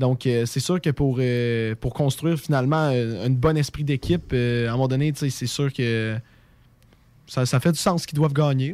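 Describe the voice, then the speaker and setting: A man speaks at a moderate pace in a medium pitch, his intonation fairly even, on a very clean recording with a silent background. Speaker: radio host. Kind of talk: casual chat. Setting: studio.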